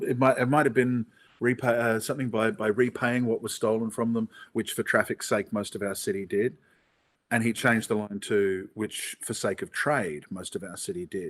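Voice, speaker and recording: A man with an Australian accent speaks at a medium pitch with ordinary pitch variation, on a very clean recording with a silent background. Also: moderate pace. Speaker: theatre actor. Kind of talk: interview.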